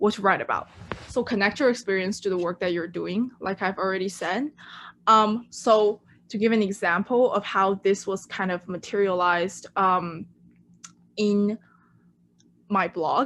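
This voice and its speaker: With a Chinese accent, the speaker uses fairly even intonation and long, frequent pauses on a very clean recording with a silent background. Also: woman, medium pitch for a woman, moderate pace. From China. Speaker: intern. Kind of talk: presentation.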